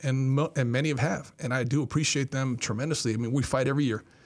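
A man with an unremarkable speaking voice talks at medium pitch with fairly even intonation. The recording is very clean, with a silent background. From Miami, Florida (Cuban-American family). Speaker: university athletic director. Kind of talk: interview. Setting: studio.

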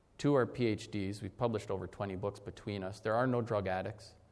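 Someone with an Upper Midwest accent talks at a fairly quick pace amid audible room echo. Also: man. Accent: Upper Midwest (Minnesota). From Minnesota, Leech Lake. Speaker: historian and professor. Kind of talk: keynote lecture.

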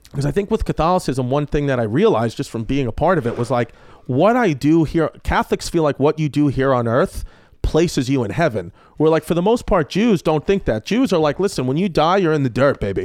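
Delivered at a fairly quick pace in a New York accent, the voice has very wide pitch swings over a quiet background. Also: man, fairly high pitch for a man. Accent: New York accent, noticeable. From New York, Brooklyn. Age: 30s. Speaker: comedian. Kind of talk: casual chat.

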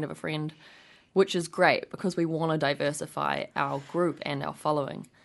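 Speaking at a fairly quick pace with a New Zealand accent, a woman uses a very deep, low pitch, monotone, flat intonation and vocal fry over a quiet background. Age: 20s. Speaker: nonprofit co-founder. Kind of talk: radio interview.

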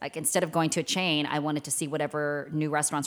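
At a very fast pace, a woman with a very deep, low pitch and a Mid-Atlantic accent speaks with fairly even intonation on a very clean recording with a silent background. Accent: General American, Mid-Atlantic. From Washington DC area, Maryland suburbs. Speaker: TV news anchor. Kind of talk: casual chat. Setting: studio.

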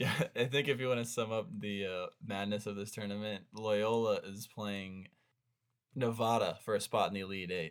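An unremarkable speaking voice from a man, fairly low in pitch, with fairly even intonation, a moderate pace and a very clean recording with a silent background. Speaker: podcast co-host, sports fan. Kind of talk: casual sports chat podcast.

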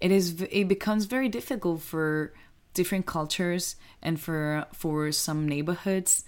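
A woman with a Spanish accent, fairly low pitch, ordinary pitch variation and a moderate pace, on a very clean recording with a silent background. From Mallorca, Spain. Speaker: actress. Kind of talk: casual interview conversation.

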